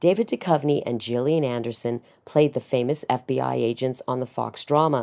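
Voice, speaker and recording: Moderate-paced speech from a woman on a very clean recording, its background silent. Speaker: voice actor. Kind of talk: entertainment news narration.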